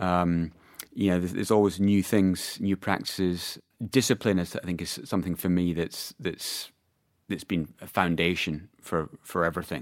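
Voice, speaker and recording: On a very clean recording with a silent background, a man with a Scottish accent talks at a moderate pace in a very deep, low voice with ordinary pitch variation. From Scotland. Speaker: PR agency owner. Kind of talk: casual chat. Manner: halting, many fillers and repetitions.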